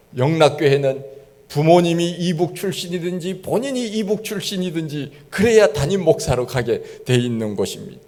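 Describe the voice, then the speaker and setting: A man's high-pitched voice with lively intonation and audible room echo. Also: moderate pace. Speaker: pastor. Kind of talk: sermon.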